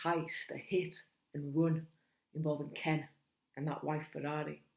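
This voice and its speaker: A woman with a Cumbrian accent speaks at a fairly slow pace. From Cumbria, England. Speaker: spoken word poet. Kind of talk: spoken word poetry performance.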